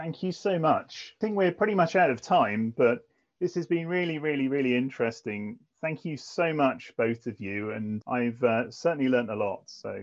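A man's plain, everyday voice at a medium pitch, with lively intonation and a moderate pace. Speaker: technology executive hosting. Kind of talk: casual interview chat.

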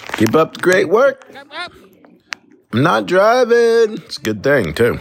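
The voice is a man's. Noticeable background noise fills the recording. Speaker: listener leaving a voicemail. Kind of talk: voicemail message. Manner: casual, rambling with fillers.

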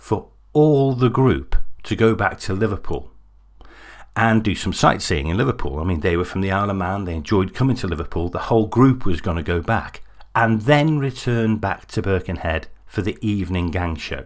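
With lively intonation and a fairly low pitch, a man speaks at a moderate pace on a very clean recording with a silent background. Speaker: podcast host and narrator. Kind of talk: true-crime narration, scripted. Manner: measured, serious storytelling with dramatic build-up.

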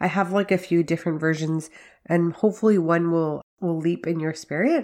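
The recording is very clean, with a silent background. A woman at medium pitch uses ordinary pitch variation in an ordinary speaking voice. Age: 40s. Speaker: faith-based podcast host for working mothers. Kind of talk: solo podcast monologue with devotional teaching.

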